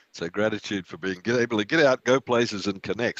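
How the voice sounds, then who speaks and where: In an Australian accent, a man speaks at a moderate pace with ordinary pitch variation, the sound dry and close with no echo. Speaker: meditation and yoga teacher. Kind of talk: group discussion after guided meditation.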